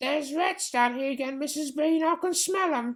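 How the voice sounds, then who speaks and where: Putting on a character voice with extremely high pitch, a man speaks at a moderate pace. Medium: read story.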